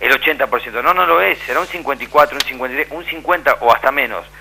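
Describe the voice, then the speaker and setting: Over noticeable background noise, a man at medium pitch speaks with lively intonation. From Argentina, Santa Fe. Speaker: documentary filmmaker. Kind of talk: debate on radio. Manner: animated.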